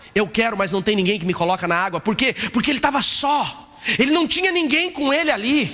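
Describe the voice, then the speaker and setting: A man speaks in a raised, projected voice with an animated tone at a fairly quick pace. His pitch swings very widely over noticeable background noise. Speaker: pastor. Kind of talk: sermon. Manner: fast, animated.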